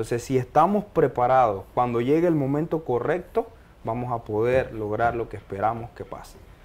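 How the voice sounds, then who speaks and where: The speaker moves at a fairly slow pace with lively intonation. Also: man. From Panama, Los Uveros de Penonomé; Panama. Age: 30s. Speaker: mining engineer; guest. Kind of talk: interview testimony. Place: studio. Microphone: lapel.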